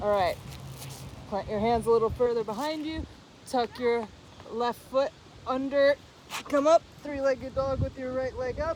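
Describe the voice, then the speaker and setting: Long, frequent pauses break up the speech against noticeable background noise. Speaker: yoga teacher. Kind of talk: guided yoga class instruction. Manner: slow, deliberate pacing.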